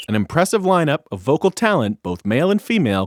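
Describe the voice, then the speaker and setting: Delivered at a fairly quick pace, this very clean recording has a silent background. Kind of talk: TV commercial read.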